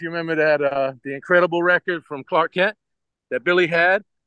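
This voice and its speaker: This man has a normal speaking voice, fairly high in pitch, with ordinary pitch variation. He talks at a fairly quick pace in a dry, close sound with no echo. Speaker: DJ. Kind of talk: casual radio interview.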